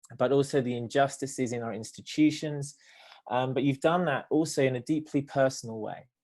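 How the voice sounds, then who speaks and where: A man with a British accent, fairly high in pitch, fairly quick, with fairly even intonation against a quiet background. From Britain. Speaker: theologian and nonprofit director. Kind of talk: panel discussion. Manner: hesitant, many fillers.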